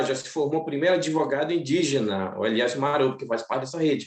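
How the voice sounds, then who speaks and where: A man rattles along at a very fast pace, his fairly high pitch showing ordinary pitch variation. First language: Macuxi (speaking Portuguese). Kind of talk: seminar panel talk. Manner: halting.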